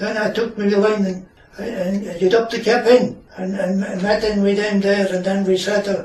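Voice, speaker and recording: A man with a Shetland accent speaks in a high, monotone, flat voice. Noticeable background noise runs underneath. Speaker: retired fisherman. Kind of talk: interview answer.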